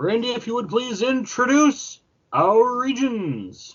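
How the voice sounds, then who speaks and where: This is a put-on character voice pitched fairly high. It moves at a fairly slow pace. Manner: exaggerated announcer delivery.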